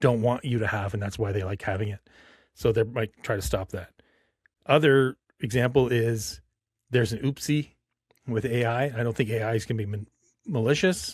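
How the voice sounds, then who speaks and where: At a moderate pace, a man with a medium pitch and a somewhat breathy voice speaks with ordinary pitch variation and long, frequent pauses, on a very clean recording with a silent background. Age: 50s. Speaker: podcast host. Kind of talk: casual chat.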